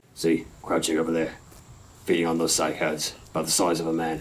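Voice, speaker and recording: In a put-on character voice, a man speaks with a very deep, low, raspy pitch, flat monotone intonation, very even loudness and a fairly quick pace. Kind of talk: 1950s radio drama acting. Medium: old radio play. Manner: laconic, even.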